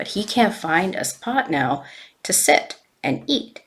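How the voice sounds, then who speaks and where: The voice is a raspy, put-on character voice. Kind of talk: informal oral storytelling. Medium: read story. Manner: casual, halting, many fillers.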